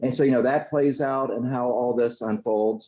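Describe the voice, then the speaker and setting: A man talks at medium pitch in a dark, mellow tone. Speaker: clergy Bible study leader. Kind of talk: Bible study teaching.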